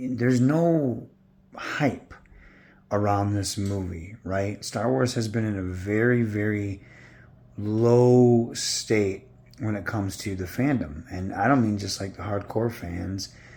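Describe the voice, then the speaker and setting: A man talks very slowly. His tone is dark and mellow, with ordinary pitch variation. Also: fairly low pitch for a man. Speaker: online commentator. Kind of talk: casual rant. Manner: sounds weird from tooth pull.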